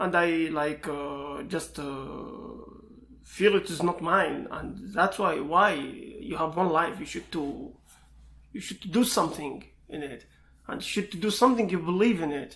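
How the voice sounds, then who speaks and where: A man with an Iraqi accent speaks at a fairly slow pace in a high-pitched voice. His tone is bright and sharp, and his loudness swings widely. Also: ordinary pitch variation. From Iraq, Baghdad. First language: Arabic. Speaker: information security student and pentester. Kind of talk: interview. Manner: halting.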